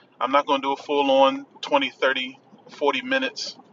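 Over noticeable background noise, a man talks at a fairly high pitch in a monotone, flat intonation. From Washington DC. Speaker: podcast host. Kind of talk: casual solo podcast shoutout. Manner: casual, conversational, filler-heavy.

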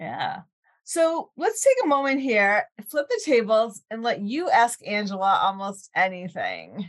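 Very wide pitch swings mark speech delivered at a fairly slow pace. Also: woman, high pitch for a woman. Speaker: podcast host. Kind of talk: interview.

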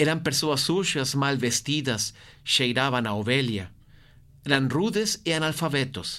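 Speech at a fairly slow pace in a Portuguese accent comes through with very even loudness and a bright, sharp tone. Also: man, fairly high pitch for a man. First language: Portuguese (speaking Spanish). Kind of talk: guided meditation.

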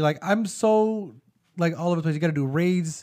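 Speaking at a fairly quick pace, a man has an unremarkable speaking voice. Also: very clean recording, silent background. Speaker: gaming and film podcast co-host. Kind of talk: casual chat.

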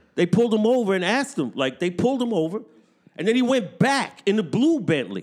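In a New York accent, a man talks at a fairly quick pace with a high pitch and very wide pitch swings. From New York City, Brooklyn. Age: 50s. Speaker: podcaster and beatmaker. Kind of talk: casual chat. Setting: studio.

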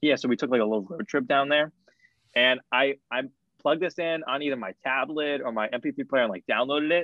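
A man talks at a fairly quick pace in an unremarkable speaking voice. His pitch is fairly high, with ordinary pitch variation. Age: 20s. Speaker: college student. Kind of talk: casual chat.

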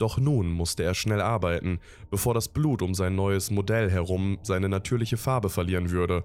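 Man with a fairly low pitch, ordinary pitch variation, very even loudness and a moderate pace. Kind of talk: creepypasta horror narration, read aloud in a calm, ominous storytelling tone.

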